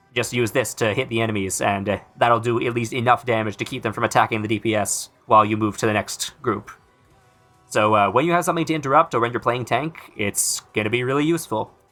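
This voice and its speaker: With music in the background, a man speaks at a very fast pace in a medium pitch with ordinary pitch variation. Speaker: gaming video creator. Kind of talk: casual gaming commentary. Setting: recorded under a blanket at home. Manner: casual, sarcastic, hesitant with fillers.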